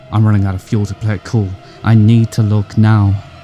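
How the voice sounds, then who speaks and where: A man speaks at a fairly quick pace with a fairly low pitch and fairly even intonation while music plays in the background. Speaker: spoken word poet. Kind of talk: horror narrative poem.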